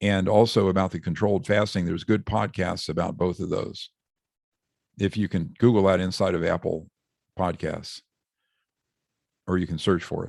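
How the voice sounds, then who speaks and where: A man speaks in a very deep, low pitch at a moderate pace with fairly even intonation. He takes long, frequent pauses, and the recording is very clean with a silent background. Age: 60s. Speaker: author and doctor. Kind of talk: podcast interview. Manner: hesitant with fillers.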